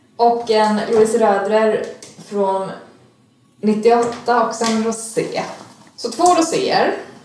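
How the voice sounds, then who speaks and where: Very slow speech with long, frequent pauses, ordinary pitch variation, audible room echo, and noticeable background noise. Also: woman, fairly high pitch for a woman. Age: 20s. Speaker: podcast co-guest reading listener questions. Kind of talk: casual chat.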